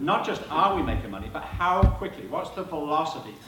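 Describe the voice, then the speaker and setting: Fairly high-pitched speech from a man with an English accent, ordinary pitch variation, audible room echo and noticeable background noise. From southern England, Hampshire. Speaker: supply chain speaker. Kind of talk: presentation to live audience. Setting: stage with audience. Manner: animated, conversational.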